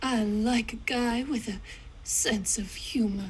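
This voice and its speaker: Using a put-on character voice, a woman speaks at a fairly high pitch and fairly slow pace, with clear background noise. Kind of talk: 1940s radio acting. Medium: game stream.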